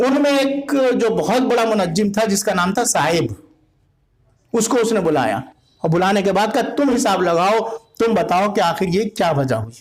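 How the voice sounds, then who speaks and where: Lively intonation marks this man's voice, which is high in pitch for a man. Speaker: Shia Islamic scholar and preacher. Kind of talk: Islamic history sermon / religious lecture. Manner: narrative, storytelling delivery.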